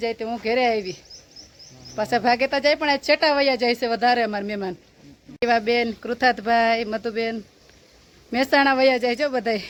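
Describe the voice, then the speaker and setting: Over noticeable background noise, a woman talks in a high voice with fairly even intonation. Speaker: farmer vlogger. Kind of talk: casual vlog narration.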